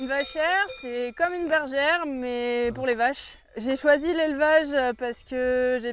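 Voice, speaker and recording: High pitch from a female speaker, at a fairly slow speed and with ordinary variation in pitch. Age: 20s. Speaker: cowherd and instructor. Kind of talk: interview testimony.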